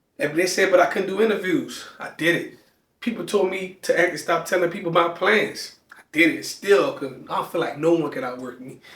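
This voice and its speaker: An animated man with an American accent, big swings in loudness and audible room echo. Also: moderate pace. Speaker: podcast host, self-published author. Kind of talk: motivational monologue. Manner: halting, hesitant with words.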